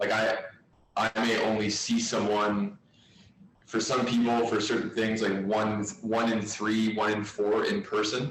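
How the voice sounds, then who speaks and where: Noticeable background noise surrounds a man speaking at a fairly slow pace. His intonation is monotone and flat, his loudness very even. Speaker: physiotherapist. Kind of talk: casual discussion on video call. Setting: video call. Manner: hesitant, many fillers.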